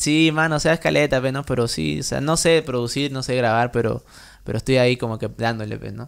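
This man talks at a fairly quick pace with lively intonation. The background is quiet. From Trujillo, Peru; Peru. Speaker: music producer; podcast guest. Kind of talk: casual interview; interview answer. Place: home room. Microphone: studio mic.

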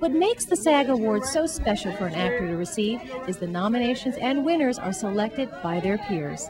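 A woman at a fairly quick pace with hardly any pauses and very wide pitch swings, music in the background. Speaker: entertainment reporter, news anchor, talk show host, sports reporter. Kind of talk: entertainment reporter on location, upbeat.

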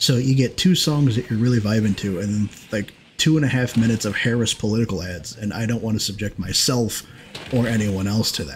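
The speech has ordinary pitch variation and a fairly quick pace, with light background noise. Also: man. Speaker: streamer and gaming host. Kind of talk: casual chat during a group gaming stream. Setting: livestream with voice chat. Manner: rambling, casual, profane. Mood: mildly annoyed ranting. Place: home room. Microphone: headset.

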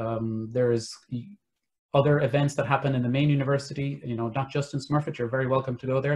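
A man's fairly high, somewhat breathy voice with an Irish accent, fairly even intonation and a fairly quick pace. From Ireland. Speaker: careers manager; webinar panelist. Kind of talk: webinar interview. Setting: video call. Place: home room. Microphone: video call.

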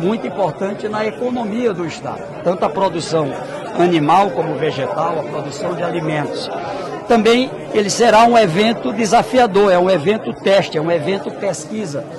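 With crowd noise in the background, a man's high-pitched voice comes through with a dry sound and no echo. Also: moderate pace. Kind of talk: press interview answer. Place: hall. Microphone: handheld.

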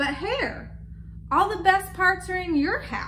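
In a put-on character voice, a woman talks slowly at an extremely high pitch with lively intonation, and audible room echo surrounds her.

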